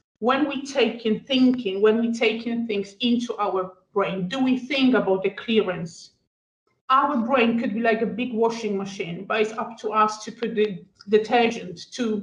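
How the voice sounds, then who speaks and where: Speaking at a fairly slow pace, a woman uses a fairly high, somewhat breathy voice with fairly even intonation. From Poland. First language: Polish. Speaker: student wellbeing adviser. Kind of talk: panel discussion. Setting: podcast recording.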